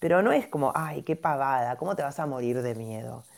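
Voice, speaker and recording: A woman's dark, mellow tone with lively intonation. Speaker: gynecologist and homeopath. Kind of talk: explanatory talk in a live audio chat room. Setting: online audio chat room.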